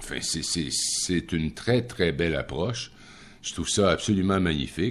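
Vocal fry runs through this man's speech, which has a moderate pace and ordinary pitch variation. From Quebec, Rimouski area. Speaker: radio commentator. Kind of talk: casual chat.

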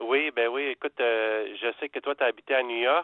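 Here is a man with an unremarkable speaking voice. His pitch is medium. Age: 40s. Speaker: radio caller. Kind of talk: phone-in chat. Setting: phone call.

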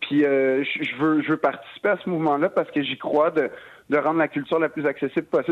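A man talks with a Quebec accent. His pitch is fairly high. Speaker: comedian. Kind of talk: radio interview. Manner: halting.

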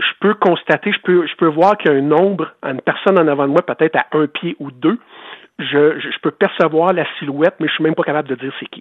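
Spoken at a moderate pace with a Quebec accent, the voice has ordinary pitch variation. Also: man. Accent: Québécois French. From Quebec, Eastern Townships. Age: 50s. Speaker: former hockey goalie, author. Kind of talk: interview. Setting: phone call.

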